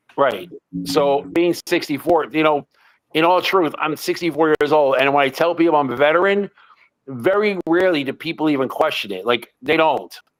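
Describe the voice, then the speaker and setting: Animated in tone, a man speaks at a moderate pace with a fairly high pitch and ordinary pitch variation. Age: 60s. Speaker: military veteran. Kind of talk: casual chat. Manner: halting, with many restarts and repetitions.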